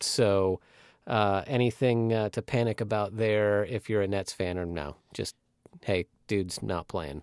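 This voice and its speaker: This is a man with a normal speaking voice, fairly low in pitch, with ordinary pitch variation and a fairly slow pace. The very clean recording has a silent background and a dry, close sound with no echo. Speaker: sports podcast host. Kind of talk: casual sports chat.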